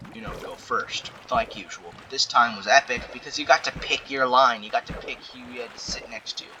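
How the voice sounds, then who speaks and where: Noticeable background noise accompanies a man speaking at a medium pitch and moderate pace. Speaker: storytime commentary youtuber. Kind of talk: casual storytelling monologue. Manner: filler-heavy, hesitant.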